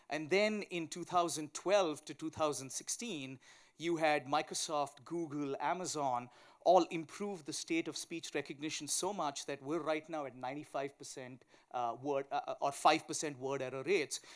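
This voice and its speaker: In a very clean recording with a silent background, a man with a strong Indian accent talks at a fairly high pitch, his loudness swinging widely and his pitch varying in an ordinary way. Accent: thick Indian. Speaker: tech company founder and CEO. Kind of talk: conference panel talk. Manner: fast.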